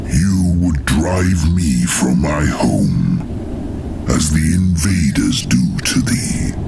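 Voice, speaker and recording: A man does a put-on character voice at a very deep, low pitch and a very slow pace, with loud background noise behind him. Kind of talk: archaic epic drama. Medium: audio drama. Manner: slow, archaic, solemn.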